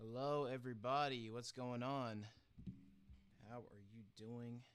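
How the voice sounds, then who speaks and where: Soft-spoken and monotone, a man talks at a medium pitch with flat intonation, and the room echo is audible. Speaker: gacha animation streamer. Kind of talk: casual livestream chat. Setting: live stream.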